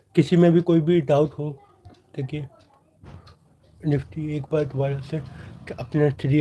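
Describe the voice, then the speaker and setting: The voice is dark and mellow in tone, somewhat breathy, with monotone, flat intonation at a fairly slow pace. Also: man. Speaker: stock market trading youtuber. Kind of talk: live stream Q&A on trading. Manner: hesitant with fillers and repetitions.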